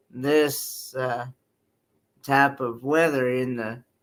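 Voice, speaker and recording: With a Southern US accent, a man with a fairly high pitch speaks very slowly in a monotone, flat way, in a very clean recording with a silent background. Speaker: peer support group member. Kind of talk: casual chat. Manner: halting.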